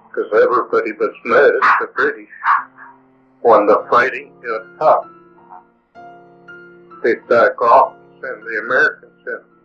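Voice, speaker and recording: A man's voice with long, frequent pauses over music in the background. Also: fairly slow pace, big swings in loudness. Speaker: war veteran. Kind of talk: interview answer. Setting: low-quality restored recording.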